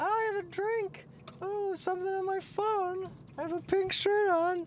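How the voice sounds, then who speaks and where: A squeaky, put-on character voice at an extremely high pitch goes at a moderate pace over clear background noise. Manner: mocking, exaggerated.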